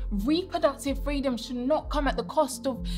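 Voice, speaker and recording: A woman talks at a fairly slow pace. Music plays clearly in the background. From United Kingdom. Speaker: spoken word poet. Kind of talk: performance poetry. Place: studio. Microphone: lapel.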